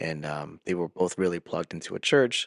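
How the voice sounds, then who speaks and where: With a slight Spanish accent, a man speaks at a fairly quick pace in a very deep, low voice, the sound dry and close with no echo. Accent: slight Spanish accent on some words. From Peru, raised in US from age 11. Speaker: podcast co-host and youth pastor. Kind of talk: casual chat.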